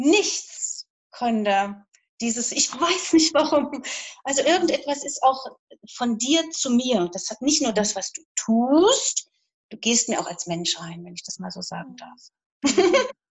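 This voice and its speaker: Speaking at a very slow pace, a woman with a high pitch makes very wide pitch swings and big swings in loudness. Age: 50s. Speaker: horse owner seeking coaching. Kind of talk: live coaching session.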